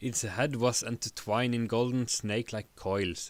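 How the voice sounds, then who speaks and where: A man speaks at a medium pitch and a moderate pace with fairly even intonation. It is an ordinary speaking voice. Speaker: live streamer reading a story aloud. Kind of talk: audiobook-style narration of fantasy text.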